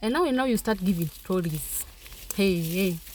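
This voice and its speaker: A woman with a Kenyan accent, medium in pitch and somewhat breathy, at a moderate pace with ordinary pitch variation. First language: Kenyan mother tongue. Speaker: vlogger. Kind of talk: vlog narration. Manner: casual.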